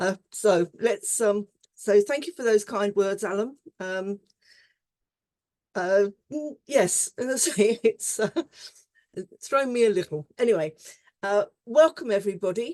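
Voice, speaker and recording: This woman has a British accent and a dark, mellow tone at medium pitch. Her pitch varies in an ordinary way, and the sound is dry and close with no echo. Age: 70s. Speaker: conference session chair. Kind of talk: conference moderation. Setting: online conference.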